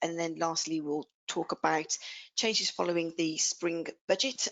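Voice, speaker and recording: A woman's fairly low voice in an English Midlands accent, fairly slow and fairly even in intonation. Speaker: R&D tax accountant. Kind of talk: webinar presentation.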